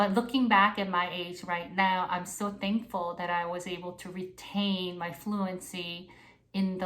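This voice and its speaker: In a Korean accent, a woman reads at a fairly slow pace with monotone, flat intonation and audible room echo. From South Korea. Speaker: spiritual mentor. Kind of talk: casual monologue.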